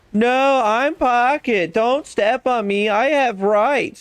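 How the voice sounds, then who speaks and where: Shouting in a put-on character voice, a man takes on a whiny tone. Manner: whiny, screaming complaints.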